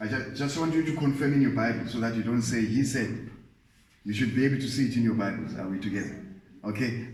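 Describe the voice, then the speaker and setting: A man speaks with lively intonation. There is audible room echo. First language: not English. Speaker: Bible teacher. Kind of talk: Bible study lecture.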